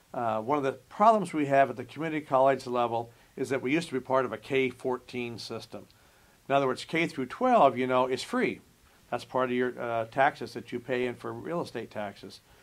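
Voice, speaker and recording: In a very clean recording with a silent background, a man with an ordinary speaking voice talks at medium pitch and a fairly quick pace, with ordinary pitch variation. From Nebraska, US Midwest. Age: 60s. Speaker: college administrator. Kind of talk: interview.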